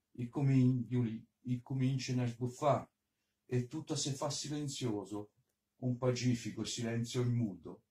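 A man speaks at a fairly slow pace with long, frequent pauses, his dark, mellow tone somewhat breathy and his intonation fairly even. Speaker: poet. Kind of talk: poetry reading. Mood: gentle, nostalgic.

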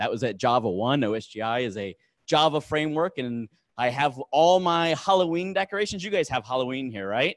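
An ordinary speaking voice from a man, fairly high-pitched, at a fairly slow pace against a quiet background. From United States. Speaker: engineer giving a tech talk; conference speaker. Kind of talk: conference talk. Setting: stage with audience. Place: hall.

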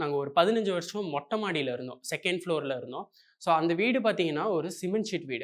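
His intonation is lively. The man's pitch is high. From Coimbatore, Tamil Nadu. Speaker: software engineer and YouTuber. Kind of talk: motivational talk.

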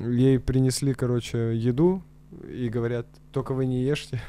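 A man speaks at a medium pitch and fairly slow pace in a dark, mellow tone with fairly even intonation. Long, frequent pauses break up his speech, and the sound is dry with no echo. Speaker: comedy podcast co-host. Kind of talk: casual chat. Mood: relaxed, amused. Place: studio. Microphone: studio mic.

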